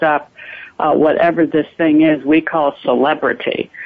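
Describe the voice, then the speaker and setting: At a fairly slow pace, a woman with an American accent speaks in a very deep, low pitch. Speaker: soap opera actress. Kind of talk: live interview.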